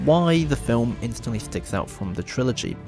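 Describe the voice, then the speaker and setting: Music in the background beneath very wide swings of pitch. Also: man. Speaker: video essayist. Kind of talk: video essay narration. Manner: formal, trying to sound serious.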